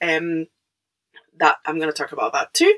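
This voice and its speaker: An animated woman with a Mexican accent, a bright, sharp tone and a dry, close sound with no echo. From Mexico. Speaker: podcaster. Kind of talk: casual monologue. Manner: hesitant, many fillers; animated, laughing.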